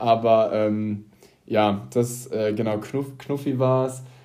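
With audible room echo, a man talks in a dark, mellow tone and fairly even intonation. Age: 20s. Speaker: podcast co-host, nurse. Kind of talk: casual chat.

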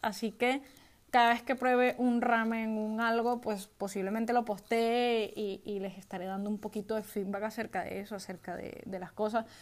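A woman's fairly high voice keeps a monotone, flat intonation on a very clean recording with a silent background. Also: moderate pace. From Venezuela. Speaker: podcast host, IT worker and gamer. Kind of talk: casual solo podcast monologue.

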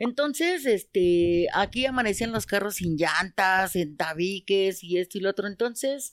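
A woman speaks in a plain, everyday voice at medium pitch, with ordinary pitch variation and a moderate pace. The recording is very clean, with a silent background and a dry, close sound with no echo. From Mexico City, Iztapalapa. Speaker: market vendor. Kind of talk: casual chat.

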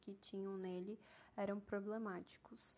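Dark and mellow in tone, a woman's voice sits at a medium pitch. She speaks at a fairly slow pace with fairly even intonation. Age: 20s. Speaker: podcast host, book reviewer. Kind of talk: solo scripted podcast monologue.

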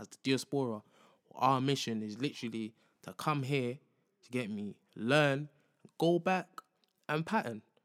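Recorded very cleanly against a silent background with a dry, close sound and no echo, a man with a London accent speaks at a moderate pace and medium pitch, with lively intonation, big swings in loudness and long, frequent pauses. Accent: London multicultural English. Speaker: podcast host. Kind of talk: casual monologue. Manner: casual, slangy, repeats filler phrases.

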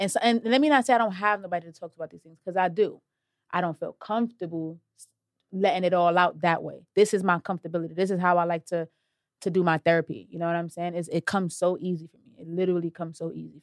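At a very fast pace and a fairly low pitch, a woman speaks with ordinary pitch variation and big swings in loudness, in a dry, close sound with no echo on a very clean recording with a silent background. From Brooklyn, New York City (Brownsville). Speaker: rapper. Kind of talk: interview.

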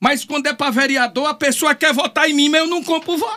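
Raised and projected, a man's extremely high voice moves at a fairly quick pace in an animated tone. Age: 60s. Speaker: politician. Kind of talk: interview. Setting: studio.

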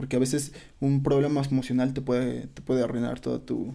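Speaking at a fairly quick pace with a Mexican accent, a man uses a medium pitch and a dark, mellow tone in a monotone, flat delivery. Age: 20s. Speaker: podcast guest. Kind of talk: casual chat.

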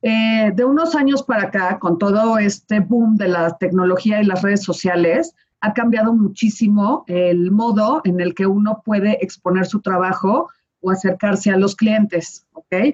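Her voice is somewhat breathy, with a medium pitch, ordinary pitch variation and very even loudness from this woman. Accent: Mexican. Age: 40s. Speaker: wedding planner. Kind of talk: casual chat.

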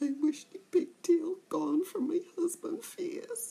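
Putting on a character voice, a woman speaks at a fairly slow pace in an extremely high pitch. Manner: noisy, scolding.

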